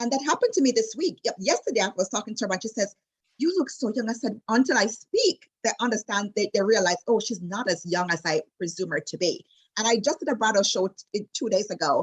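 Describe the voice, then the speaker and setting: A woman's fairly high, somewhat breathy voice with a Jamaican accent, very fast and animated, with lively intonation and a dry, close sound with no echo. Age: 40s. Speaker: destination wedding travel advisor. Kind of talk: casual interview chat.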